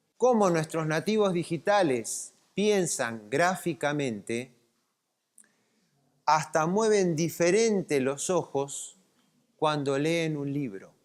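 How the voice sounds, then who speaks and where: Pausing long and often, a man with a fairly high pitch speaks at a very slow pace with lively intonation. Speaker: lecturer. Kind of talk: lecture. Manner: animated.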